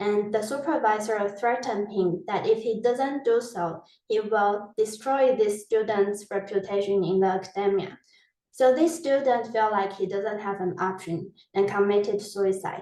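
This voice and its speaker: A woman with a non-native accent speaks at a medium pitch in a dark, mellow tone. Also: ordinary pitch variation, moderate pace. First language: not English. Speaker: PhD researcher, webinar speaker. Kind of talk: webinar presentation. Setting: online webinar.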